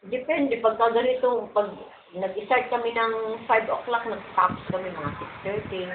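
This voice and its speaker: A woman with a fairly high pitch speaks at a moderate pace with ordinary pitch variation. Room echo is audible, along with noticeable background noise. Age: 60s. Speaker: folk dancer and choreographer. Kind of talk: interview.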